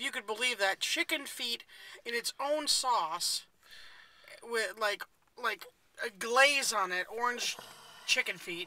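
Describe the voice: A woman with a fairly high pitch and a bright, sharp tone speaks at a slow pace, her pitch varying in an ordinary way, with long, frequent pauses.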